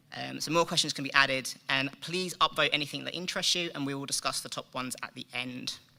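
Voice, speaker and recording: At a very fast pace, a man talks in a fairly high pitch with fairly even intonation and big swings in loudness. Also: hardly any pauses. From UK. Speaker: software developer. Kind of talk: conference presentation. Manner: frequent ums.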